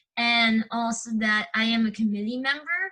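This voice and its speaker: The voice has a bright, sharp tone and an American accent. Intonation is fairly even at a moderate pace. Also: woman. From New York City (Brooklyn). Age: 20s. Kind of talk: casual interview. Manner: hesitant, many fillers.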